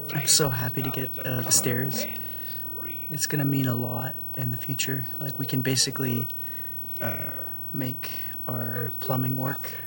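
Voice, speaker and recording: Music plays in the background of quiet speech at a fairly slow pace, with long, frequent pauses. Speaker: gaming commentator. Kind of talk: casual gameplay commentary. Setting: home recording late at night. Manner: quiet, keeping voice down; relaxed, many fillers and sighs.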